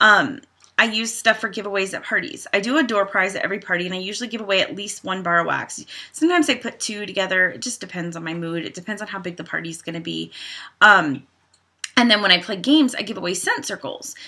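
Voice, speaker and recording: Against a quiet background, the voice has a bright, sharp tone, lively intonation and big swings in loudness. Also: woman. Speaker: direct sales team leader. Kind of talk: training tutorial. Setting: home. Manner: fast. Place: home room. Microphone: webcam.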